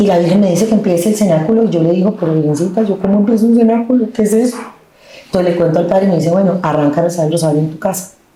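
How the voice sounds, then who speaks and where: The speech runs at a very fast pace with very even loudness and ordinary pitch variation. Audible room echo and noticeable background noise are present. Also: woman. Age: 50s. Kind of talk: testimony interview. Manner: animated.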